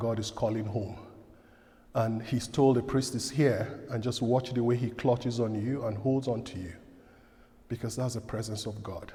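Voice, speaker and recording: This man's voice has a dark, mellow tone and is somewhat breathy. His intonation stays fairly even. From outside Canada, from a direct-speaking culture. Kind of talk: parish talk.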